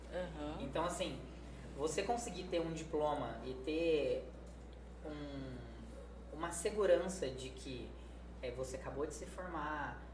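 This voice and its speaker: Fairly slow speech from a man, amid noticeable background noise and audible room echo. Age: 30s. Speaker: nursing technician. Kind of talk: casual chat.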